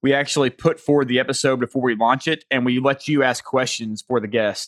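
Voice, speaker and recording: A man in a Southern US accent talks at a very fast pace, his pitch medium and his pitch variation ordinary. The sound is dry and close with no echo, against a quiet background. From US South. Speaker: podcast host. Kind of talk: casual interview.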